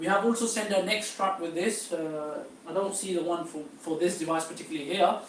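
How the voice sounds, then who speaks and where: With audible room echo and noticeable background noise, a man speaks at a fairly quick pace in a high pitch, his pitch varying in an ordinary way. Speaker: travel agency tour organiser. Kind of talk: seminar briefing. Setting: live-streamed seminar. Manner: hesitant, many fillers.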